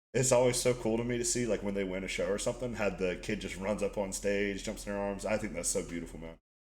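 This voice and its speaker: A man with a fairly low pitch talks at a very fast pace with hardly any pauses. His intonation stays fairly even. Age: 20s. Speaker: podcast host. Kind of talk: casual chat.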